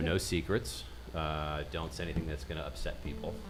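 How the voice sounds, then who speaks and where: Music plays in the background. A man with a very deep, low pitch speaks at a fairly quick pace with ordinary pitch variation. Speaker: show producer running the live stream. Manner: casual, filler-heavy.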